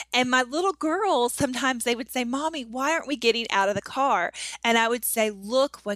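A woman with an American accent, high pitch, lively intonation and a bright, sharp tone, at a moderate pace, the sound dry and close with no echo. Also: very clean recording, silent background. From US South. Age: 30s. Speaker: author and blogger. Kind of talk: casual interview chat.

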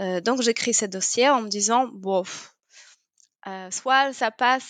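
Against a quiet background, someone with a Polish accent speaks at a very slow pace. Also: woman, dry, close sound with no echo. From Poland. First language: Polish (speaking French). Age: 30s. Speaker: yoga teacher. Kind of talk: interview. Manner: hesitant, many fillers.

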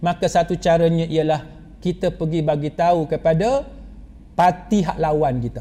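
Fairly high in pitch, a man with an ordinary speaking voice keeps a moderate pace and ordinary pitch variation. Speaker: Islamic preacher. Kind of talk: religious lecture.

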